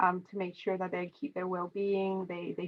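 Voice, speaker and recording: A woman speaks at a moderate pace in a flat monotone. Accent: Romanian. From Romania. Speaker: tech consultant. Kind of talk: interview.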